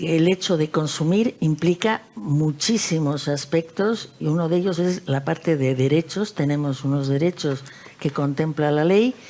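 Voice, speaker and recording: Against noticeable background noise, a woman with a very deep, low pitch speaks at a fairly slow pace with ordinary pitch variation. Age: 70s. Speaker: consumer federation president. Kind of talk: panel discussion.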